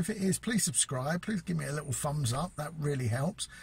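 A man's somewhat breathy voice rises and falls with lively intonation at a fairly high pitch. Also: dry sound with no echo. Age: 50s. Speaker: vlogger. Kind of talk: casual vlog monologue. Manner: hesitant with fillers. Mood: warm, encouraging. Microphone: phone near.

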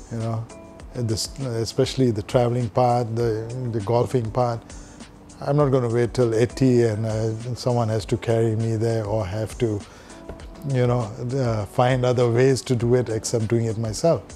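Faint music plays behind a man speaking at a moderate pace with monotone, flat intonation. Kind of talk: interview answer. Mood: relaxed, reflective, light laughter. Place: home room. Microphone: lapel.

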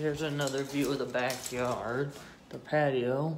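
There is audible room echo as a man speaks at a fairly slow pace with a medium pitch and fairly even intonation.

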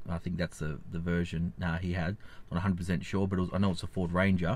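The sound is dry with no echo as a man speaks in an Australian accent. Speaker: finance YouTuber. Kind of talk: vlog commentary; casual vlog chat. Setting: outdoors. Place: car. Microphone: phone near.

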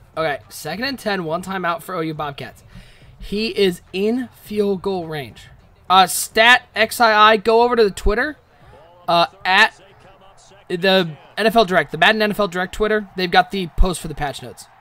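The voice is raised and projected, with a bright, sharp tone. Its loudness swings widely while its pitch varies in an ordinary way. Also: man, high pitch for a man. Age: 30s. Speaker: esports game commentator. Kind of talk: live commentary. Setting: live stream. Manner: animated.

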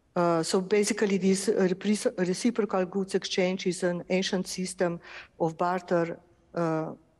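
A woman's medium-pitched voice in a Slovenian accent, fairly slow and monotone, over a quiet background. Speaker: architect and artist. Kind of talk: lecture. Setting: auditorium with live and online audience.

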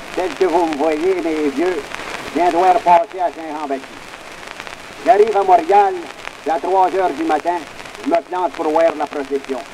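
Noticeable background noise sits under a man's high-pitched voice. He speaks at a fairly slow pace with ordinary pitch variation. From Quebec. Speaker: comedian, folklorist. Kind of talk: comic monologue recording. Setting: early acoustic recording. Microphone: old recording.

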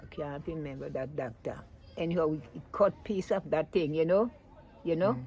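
A moderate pace in a Vincentian accent, with ordinary pitch variation over light background noise. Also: woman, very deep, low pitch for a woman. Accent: Vincentian Creole English. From Saint Vincent and the Grenadines. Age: 80s+. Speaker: elderly interviewee. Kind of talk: interview answer. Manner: joyous. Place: home room.

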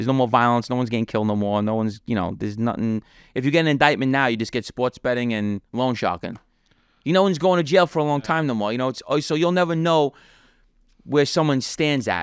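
Against a quiet background with dry sound and no echo, the speaker talks at a very fast pace with lively intonation in a New York accent. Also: man. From New York City (Brooklyn, Queens); New York City. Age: 30s. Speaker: former mafia member; podcast guest. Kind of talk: interview, life story. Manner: casual, conversational. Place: home room. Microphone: studio mic.

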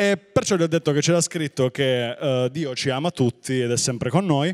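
A man speaks in an unremarkable speaking voice at a medium pitch, with ordinary pitch variation. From Puglia, southern Italy. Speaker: stand-up comedian. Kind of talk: stand-up comedy, live on stage with a fast, punchy set. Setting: stage with audience. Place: stage. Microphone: handheld.

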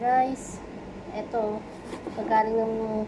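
A woman's fairly high voice comes through audible room echo and noticeable background noise. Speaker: overseas worker vlogger. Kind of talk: casual vlog. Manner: halting.

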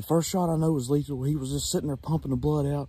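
Somewhat breathy male voice in a dry sound with no echo. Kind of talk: casual vlog chat. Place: forest. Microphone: phone near.

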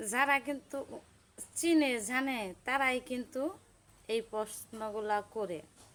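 Her voice sits high, with ordinary pitch variation throughout. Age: 40s. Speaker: social media vlogger. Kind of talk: personal vlog monologue. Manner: halting.

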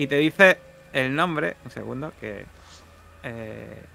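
A man's medium-pitched voice, bright and sharp in tone, with lively intonation, vocal fry and a slow pace.

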